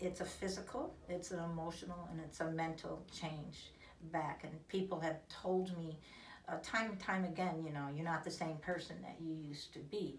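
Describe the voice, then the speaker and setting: Fairly even intonation comes through with audible room echo and noticeable background noise. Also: woman, fairly low pitch for a woman, moderate pace. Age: 60s. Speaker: patient giving testimonial. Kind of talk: testimony. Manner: halting, many fillers.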